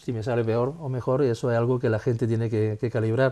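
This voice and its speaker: A man speaks at a very fast pace with a medium pitch. His tone is dark and mellow. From Spain, Jaén (Andalusia). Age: 50s. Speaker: musician. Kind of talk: interview. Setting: home living room.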